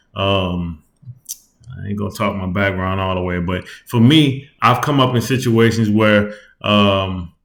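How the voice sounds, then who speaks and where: The speaker is a man with a fairly low pitch. His pitch variation is ordinary. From US South. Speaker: YouTuber. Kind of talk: casual vlog commentary. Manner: fast; casual, repetitive fillers.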